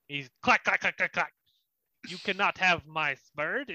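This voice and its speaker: Against a quiet background, a man puts on a character voice with a high pitch at a fairly slow pace. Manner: possessive, protective.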